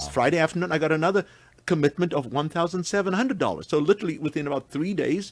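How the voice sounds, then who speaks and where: A man rattles along at a very fast pace with vocal fry. He has a slight South African accent. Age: 70s. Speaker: senior long-distance walker and runner. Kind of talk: radio interview, casual chat.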